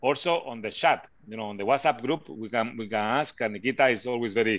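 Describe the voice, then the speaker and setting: A man speaks with a Spanish accent at a moderate pace. His pitch is medium, with ordinary variation. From Spain. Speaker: physics lecturer. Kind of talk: online class discussion.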